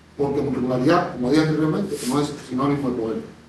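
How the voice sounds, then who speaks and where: Very fast speech from a man amid noticeable background noise and audible room echo. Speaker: panel moderator and researcher. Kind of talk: conference presentation. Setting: conference panel with audience.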